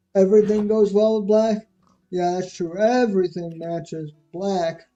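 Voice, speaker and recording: Speech at a moderate pace over music in the background. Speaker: gaming livestreamer. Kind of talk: casual chat. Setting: live stream.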